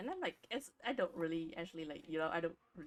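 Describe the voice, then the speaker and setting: In a Vietnamese accent, a woman speaks at a fairly low pitch. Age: 20s. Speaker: streamer. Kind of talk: casual chat.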